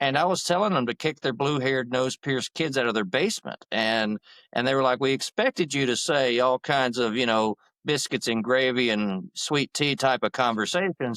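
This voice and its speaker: A man with a Southern accent, medium pitch, ordinary pitch variation and a moderate pace, at very even loudness, in a dry, close sound with no echo on a very clean recording with a silent background. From Georgia, US South. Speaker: attorney and veterans' advocacy group president. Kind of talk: interview. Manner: talkative, long-winded.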